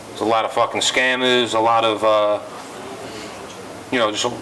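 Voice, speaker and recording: With a New York accent, a man talks in a flat monotone at a medium pitch. His pace is fairly quick, with noticeable background noise behind him. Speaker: rapper. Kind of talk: interview. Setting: club. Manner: fast.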